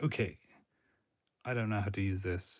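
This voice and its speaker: The recording is very clean with a silent background, and a man's fairly low, somewhat breathy voice keeps a fairly even intonation. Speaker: career advice creator. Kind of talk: livestream talk. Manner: monotone.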